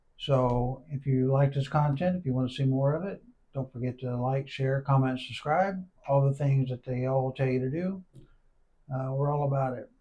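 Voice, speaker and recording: With a dark, mellow tone, a man speaks at a medium pitch and a moderate pace, somewhat breathy and with fairly even intonation. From Arkansas. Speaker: podcast host. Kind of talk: interview.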